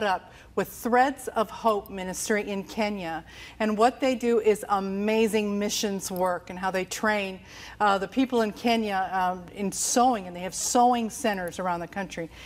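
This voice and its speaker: Her pitch varies in an ordinary way as a woman speaks at a moderate pace. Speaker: TV show host. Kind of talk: show introduction to camera. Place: studio. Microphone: lapel.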